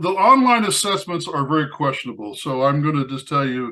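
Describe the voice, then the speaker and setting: On a very clean recording with a silent background, a man with a fairly high pitch talks at a very fast pace with ordinary pitch variation. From Indiana. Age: 70s. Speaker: magician. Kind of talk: casual chat. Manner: halting, many repeated words.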